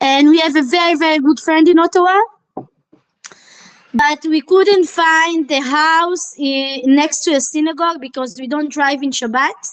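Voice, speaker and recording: The delivery keeps a moderate pace with fairly even intonation. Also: woman, high pitch for a woman. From Israel. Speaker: Israeli immigrant. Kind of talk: casual chat.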